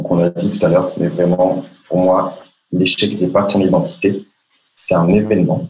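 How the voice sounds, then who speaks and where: This man talks at a fairly slow pace, his intonation lively. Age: 20s. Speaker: public speaking coach. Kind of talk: interview.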